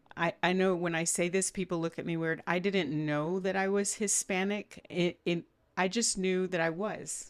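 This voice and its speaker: A woman's fairly low voice in a South Texas accent, fairly slow and with fairly even intonation. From Brownsville, Texas. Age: 60s. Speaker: podcast host, doctor. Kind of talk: interview conversation.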